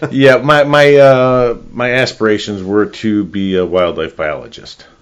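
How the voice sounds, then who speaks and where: Lively intonation marks this man's medium-pitched voice, delivered at a fairly slow pace with a Chicago accent. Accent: Chicago-area American. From northern Illinois, US Midwest. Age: 60s. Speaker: real estate agent. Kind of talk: casual interview chat.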